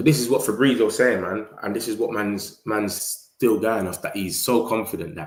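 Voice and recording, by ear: Audible room echo frames a man with a fairly low pitch. He speaks at a moderate pace with ordinary pitch variation.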